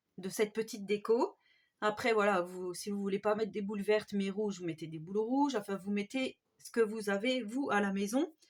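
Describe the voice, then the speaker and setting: The pitch moves with ordinary variation. The pace is moderate. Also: woman. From France, Haute-Marne. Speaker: DIY crafts YouTuber. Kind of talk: tutorial. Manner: hesitant, many fillers.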